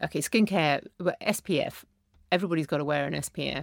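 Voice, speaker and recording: A woman's very deep, low pitch with vocal fry, a moderate pace and ordinary pitch variation, on a very clean recording with a silent background. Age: 50s. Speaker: beauty journalist and author. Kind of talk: casual chat.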